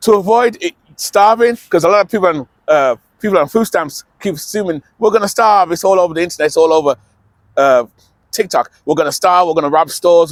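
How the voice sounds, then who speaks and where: At a very fast pace, a man speaks with a high pitch and lively intonation in a dry, close sound with no echo. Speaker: vlogger on alternative living. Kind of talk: casual talk to camera. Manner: mumbling at times.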